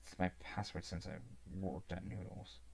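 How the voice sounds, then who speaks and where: With vocal fry and a very deep, low pitch, a man speaks at a moderate pace. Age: 20s. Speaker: gaming streamer. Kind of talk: casual livestream chat. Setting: live stream.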